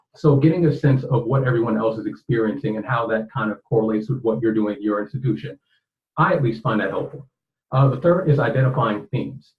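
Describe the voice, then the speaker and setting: Somewhat breathy, a man talks at a very fast pace. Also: medium pitch for a man, ordinary pitch variation. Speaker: librarian and webinar facilitator. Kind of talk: webinar facilitation. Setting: online webinar.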